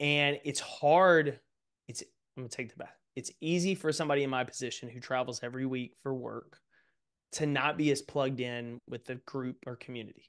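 A man with an American accent, medium pitch, an ordinary speaking voice, moderate pace, fairly even intonation and big swings in loudness, over a quiet background. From East Texas. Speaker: author and speaker; speaker. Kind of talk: interview conversation. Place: home room. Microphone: studio mic.

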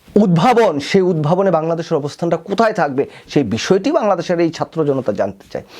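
Lively intonation from a man with a high pitch, over noticeable background noise. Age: 40s. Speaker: political commentator. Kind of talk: political commentary monologue. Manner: impassioned.

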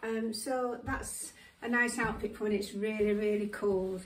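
A woman is speaking. Her intonation is flat and monotone. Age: 70s. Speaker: fashion vlogger. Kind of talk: casual try-on fashion presentation. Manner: casual with many fillers and hesitations. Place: home room. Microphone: camera far.

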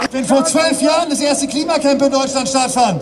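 A man's passionate tone at an extremely high pitch, monotone and flat in intonation, amid noticeable background noise. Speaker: climate activist speaker. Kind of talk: protest rally speech. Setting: outdoors at demonstration. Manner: emotional, passionate. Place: street.

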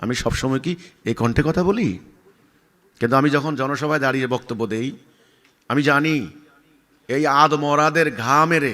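A man speaks loudly in a stern tone, bright and sharp, at a fairly high pitch. His pitch varies an ordinary amount. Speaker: religious leader. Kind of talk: answering a question, speech-like explanation. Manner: loud, forceful; sharp, stern tone.

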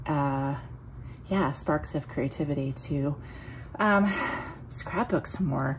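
A woman speaks at a fairly slow pace with a very deep, low pitch. Her voice is somewhat breathy. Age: 40s. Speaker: scrapbooking YouTuber. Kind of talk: casual album flip-through tutorial. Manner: hesitant with many ums; laughs often.

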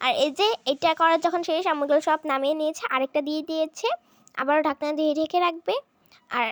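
A woman talks in a high pitch with ordinary pitch variation, and the sound is dry and close with no echo. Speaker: family vlogger. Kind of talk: vlog narration.

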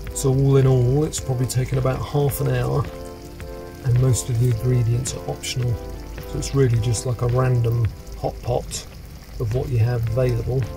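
The speech moves at a moderate pace with long, frequent pauses. Clear music sits in the background. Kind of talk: cooking tutorial narration. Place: kitchen.

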